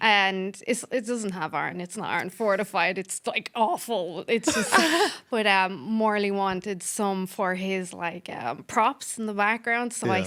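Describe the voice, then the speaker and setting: At a fairly slow pace, a woman speaks with an Irish accent at medium pitch. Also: ordinary pitch variation, hardly any pauses. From Dublin, Ireland.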